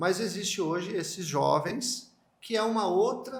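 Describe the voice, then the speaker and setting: Lively intonation from a man at a very slow pace, with audible room echo. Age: 50s. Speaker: podcast host. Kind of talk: interview. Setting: home of the interviewed candidate. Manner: halting.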